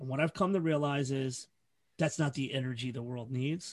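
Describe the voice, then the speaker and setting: Against a quiet background, a man with an American accent sounds somewhat breathy, his pitch varying in an ordinary way. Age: 40s. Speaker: hardcore festival organizer and podcaster. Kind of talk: casual chat.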